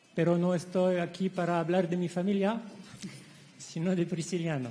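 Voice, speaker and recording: A man with a French accent and high pitch talks at a moderate pace. His intonation is fairly even, and audible room echo surrounds him. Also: very even loudness. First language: French (speaking Spanish). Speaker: academic conference speaker. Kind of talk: conference lecture. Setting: conference hall.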